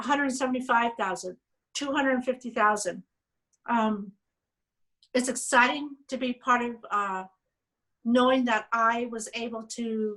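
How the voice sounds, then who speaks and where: A loud woman at a high pitch, with a bright, sharp tone, fairly even intonation and a fairly slow pace. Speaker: state legislator. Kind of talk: panel talk. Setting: video call.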